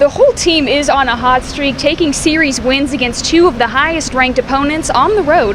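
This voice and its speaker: This woman's high-pitched voice comes at a fairly quick pace, with noticeable background noise behind it. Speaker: sports broadcaster, sideline reporter. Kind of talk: sports broadcast reporting.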